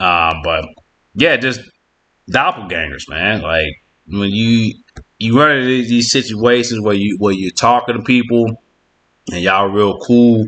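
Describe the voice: A man's fairly low voice with a fairly bright tone, ordinary pitch variation and a fairly slow pace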